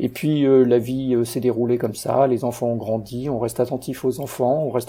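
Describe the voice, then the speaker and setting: A man speaks at a medium pitch with fairly even intonation. His voice is somewhat breathy. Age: 50s. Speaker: guest sharing insomnia story. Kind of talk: interview. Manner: halting.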